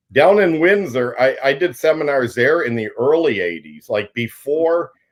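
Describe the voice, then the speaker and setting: A man with a Canadian accent and a normal speaking voice, fairly high-pitched, lively intonation, moderate pace. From southwestern Ontario, Canada. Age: 60s. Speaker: pro angler. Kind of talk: podcast interview.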